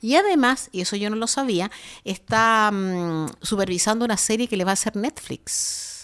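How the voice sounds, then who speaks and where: The woman speaking has a normal speaking voice at a fairly high pitch. She keeps a moderate pace with ordinary pitch variation. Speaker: radio host. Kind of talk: casual chat. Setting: studio.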